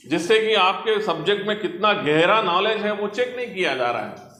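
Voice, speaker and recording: A man with a Telangana accent and a high pitch, in a raised, projected voice, with audible room echo and noticeable background noise. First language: Telugu (speaking Hindi). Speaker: senior civil servant. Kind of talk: motivational talk to students. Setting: library hall with student audience.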